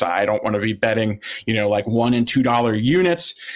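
Speaking with an American accent, a man uses a medium pitch. His pitch variation is ordinary. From Philadelphia area, US. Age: 30s. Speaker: sports betting analyst. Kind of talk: casual interview.

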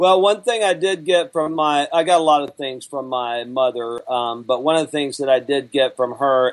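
The voice carries a Southern US accent, with ordinary pitch variation. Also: man. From Alabama. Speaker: business trainer and author. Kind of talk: interview conversation.

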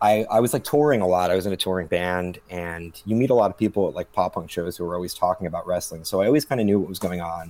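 With a very deep, low pitch and ordinary pitch variation, a man races along at a very fast pace with hardly any pauses. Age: 30s. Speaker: podcast guest and wrestling writer. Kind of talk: casual chat.

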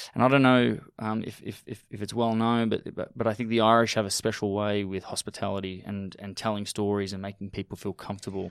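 With hardly any pauses, a man talks at a fairly low pitch on a very clean recording with a silent background. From Australia, Melbourne. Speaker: restaurateur, cafe founder. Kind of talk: interview.

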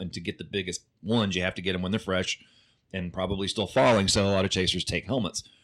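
This man has a very deep, low pitch and a bright, sharp tone with an American accent. He talks at a very fast pace. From Oklahoma. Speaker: storm chaser. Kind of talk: casual chat.

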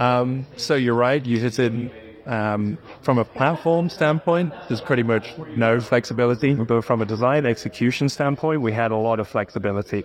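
A man of medium pitch at a moderate pace, with very even loudness, ordinary pitch variation and noticeable background noise. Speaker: car designer. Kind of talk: interview.

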